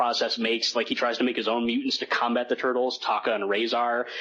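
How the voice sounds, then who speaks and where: At a very fast pace, a man with a medium pitch talks over noticeable background noise. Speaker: podcast co-host. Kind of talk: casual chat. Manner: fast, trips over words.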